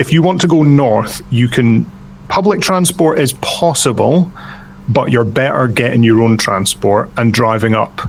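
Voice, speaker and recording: Intonation is lively in a Scottish accent, delivered at a fairly slow pace with very even loudness. Noticeable background noise can be heard. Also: man, medium pitch for a man. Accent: soft Scottish. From Scotland, Edinburgh. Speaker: hobby painter and video creator. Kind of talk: podcast interview. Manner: hesitant, many fillers.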